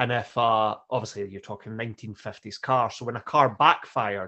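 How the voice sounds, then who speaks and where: A man talks with ordinary pitch variation. His is an unremarkable speaking voice, moving at a moderate pace. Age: 40s. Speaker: podcast co-host. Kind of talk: casual podcast chat.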